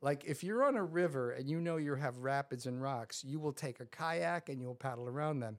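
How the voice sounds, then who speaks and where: With hardly any pauses, a man with a plain, everyday voice and an American accent talks at a fairly quick pace and fairly high pitch, with ordinary pitch variation. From New York suburbs, US. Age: 60s. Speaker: professor and person in recovery.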